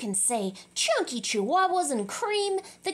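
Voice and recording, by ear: This is reading aloud in a natural voice. Nothing else is heard.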